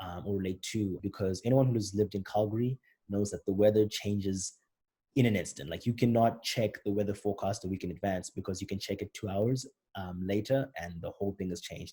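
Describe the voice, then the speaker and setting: In a Zimbabwean accent, the voice has a dark, mellow tone, is somewhat breathy, and keeps fairly even intonation on a very clean recording with a silent background. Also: man. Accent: British-style Zimbabwean. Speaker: rapper explaining own album. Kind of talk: commentary on own songs. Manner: casual, conversational.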